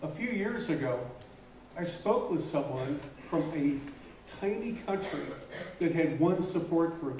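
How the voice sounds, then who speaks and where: Noticeable background noise and audible room echo surround a man speaking at a fairly slow pace, his voice high for a man, with ordinary pitch variation. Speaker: conference speaker, stuttering advocate. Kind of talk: keynote speech. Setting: conference hall with audience. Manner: slow, pausing for interpreter.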